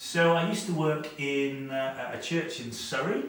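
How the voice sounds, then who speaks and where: A man speaks slowly with a Welsh accent. Audible room echo and noticeable background noise fill the recording. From Wales. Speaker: youth worker. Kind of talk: seminar talk. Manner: hesitant, many repetitions and fillers.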